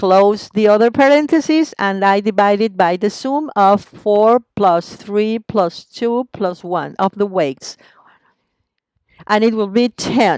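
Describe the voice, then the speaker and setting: A woman speaks at a very slow pace with lively intonation and a medium pitch. The sound is dry and close, with no echo. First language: Spanish. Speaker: teacher. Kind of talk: tutorial. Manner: step-by-step explaining.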